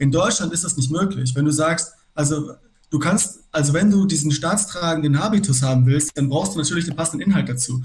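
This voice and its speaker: This man has a normal speaking voice with fairly high pitch. His pitch varies in an ordinary way, and he talks at a fairly quick pace. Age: 30s. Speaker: aspiring lawyer and activist. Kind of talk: casual political discussion.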